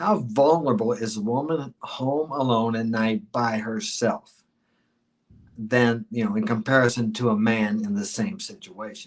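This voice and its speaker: Speaking at a fairly slow pace, a man with medium pitch and ordinary pitch variation has an ordinary speaking voice. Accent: American. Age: 60s. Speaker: dating and life advice guest. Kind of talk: podcast interview.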